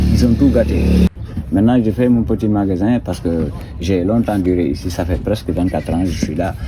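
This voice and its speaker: A man's very deep, low voice at a fairly quick pace with lively intonation, over noticeable background noise. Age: 60s. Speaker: local shopkeeper. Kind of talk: interview.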